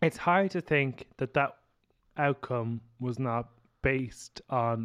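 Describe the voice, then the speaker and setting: A man with an ordinary speaking voice, medium pitch and ordinary pitch variation, in a dry, close sound with no echo and a quiet background. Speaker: podcast host. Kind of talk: casual chat.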